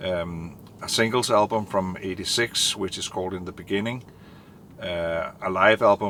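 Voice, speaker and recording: With a non-native accent, a man talks at a moderate pace in a very deep, low pitch, his intonation monotone and flat and his tone bright and sharp. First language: not English. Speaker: vinyl collector video host. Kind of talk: casual monologue. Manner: halting, many fillers.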